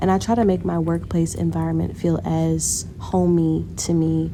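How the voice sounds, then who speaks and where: The speaker here is a woman. Her words come through noticeable background noise. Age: young. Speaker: car salesperson. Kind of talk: casual vlog talk to camera.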